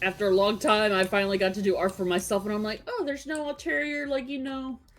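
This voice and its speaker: Against noticeable background noise, a woman talks at a fairly quick pace with medium pitch and lively intonation. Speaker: vtuber artist. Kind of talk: casual chat.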